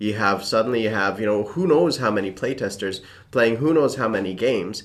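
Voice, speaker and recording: Lively intonation carries the delivery along at a fairly quick pace. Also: man. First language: Czech. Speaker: tabletop gaming YouTuber. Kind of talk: casual chat.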